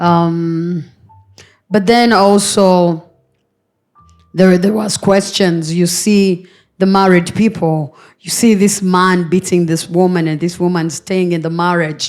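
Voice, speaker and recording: Over music in the background, a woman with a fairly low voice speaks very slowly, leaving long, frequent pauses. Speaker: panel guest. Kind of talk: panel discussion. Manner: halting.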